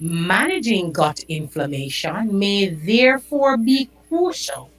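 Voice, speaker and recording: Over background music, a woman talks at a very slow pace with lively intonation and a fairly low pitch. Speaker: podcast host. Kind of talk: health talk podcast.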